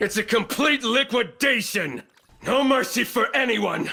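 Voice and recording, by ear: In a put-on character voice, a man speaks at an extremely high pitch with a bright, sharp tone, vocal fry, lively intonation and a fairly slow pace.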